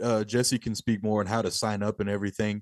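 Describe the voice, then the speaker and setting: A man with a Texan accent in a dry, close sound with no echo and a quiet background. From rural Texas. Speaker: death metal musician. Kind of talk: interview.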